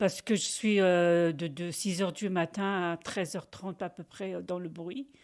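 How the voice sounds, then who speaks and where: Against a quiet background, the speaker goes very slowly with fairly even intonation. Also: woman. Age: 60s. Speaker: factory worker. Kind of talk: interview testimony. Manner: halting; loud.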